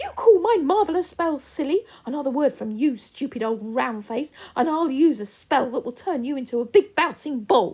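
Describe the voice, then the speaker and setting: Performed in a put-on character voice, the speech moves at a moderate pace with hardly any pauses. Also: female-sounding voice, high pitch for a woman. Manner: angry, enraged; threatening.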